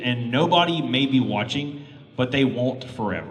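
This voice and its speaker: With a Texan accent, a man speaks at a fairly high pitch and ordinary pitch variation, amid audible room echo and noticeable background noise. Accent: Texan (Southern US). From Texas. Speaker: YouTuber. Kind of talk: convention panel talk. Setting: stage with audience. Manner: halting, many fillers.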